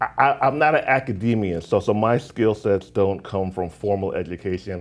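A moderate pace and lively intonation in an unremarkable speaking voice, very clean recording, silent background. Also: man. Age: 40s. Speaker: entrepreneur and notary business coach. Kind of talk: casual interview. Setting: studio.

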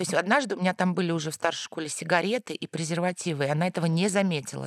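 A woman talks very fast with a fairly low pitch and vocal fry. Her sound is dry and close, with no echo. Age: 40s. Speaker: journalist and university lecturer, mother of three. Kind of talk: casual chat.

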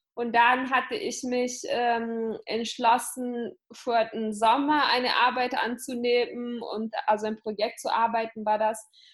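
The speech moves at a very slow pace with hardly any pauses. Intonation stays fairly even. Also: woman, high pitch for a woman. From Italy. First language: Italian (speaking German). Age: 20s. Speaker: entrepreneur and business coach. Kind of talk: interview.

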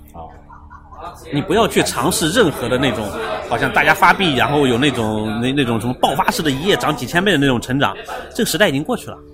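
This man talks at a very fast pace with a fairly high pitch and lively intonation. Crowd noise sits in the background, and room echo is audible. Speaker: tech startup co-founder. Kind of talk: casual interview. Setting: cafe.

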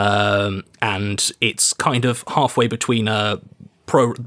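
The recording of this man is very clean, with a silent background. The sound is dry and close, with no echo. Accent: British. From Britain. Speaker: game designer. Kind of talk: casual chat while playing a tabletop RPG.

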